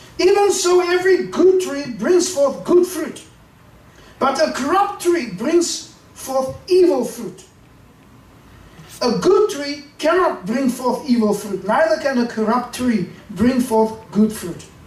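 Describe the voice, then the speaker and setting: The speaker talks very slowly with very wide pitch swings over noticeable background noise. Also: man. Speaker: preacher, bishop. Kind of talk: sermon, preaching to a congregation.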